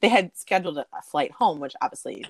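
The sound is dry and close, with no echo. A woman talks fairly quickly. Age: 40s. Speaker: corporate trainer. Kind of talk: casual chat. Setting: video call. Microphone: poor sound quality.

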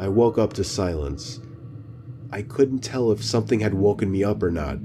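Noticeable background noise sits behind a man's voice. His pitch is fairly low and his intonation lively. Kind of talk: true-crime horror narration, first-person scary story told in a hushed, suspenseful way. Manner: earnest, uneasy storytelling tone.

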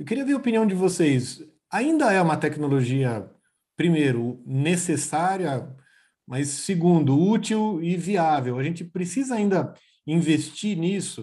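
A high-pitched man with a dark, mellow tone and lively intonation, fairly slow in pace, over a quiet background. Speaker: oncologist, podcast host. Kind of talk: professional panel discussion. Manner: halting, many fillers and repetitions.

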